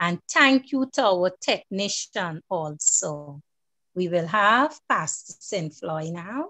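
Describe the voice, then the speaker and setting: Over a quiet background, a woman talks at a very slow pace with very wide pitch swings, the sound dry with no echo. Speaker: program moderator. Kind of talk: church program hosting. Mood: fervent, worshipful. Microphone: video call.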